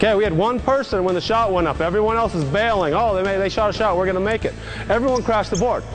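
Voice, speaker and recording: A high-pitched man at a very fast pace, with ordinary pitch variation and very even loudness, over music in the background and audible room echo. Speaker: basketball coach. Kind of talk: coaching instructions.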